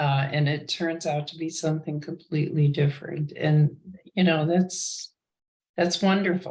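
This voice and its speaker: With an American accent, a woman talks at a moderate pace in a very deep, low pitch. Her voice is somewhat breathy, with monotone, flat intonation. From US Midwest, Chicago. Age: 80s+. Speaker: retired business analyst. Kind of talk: casual interview chat. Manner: halting.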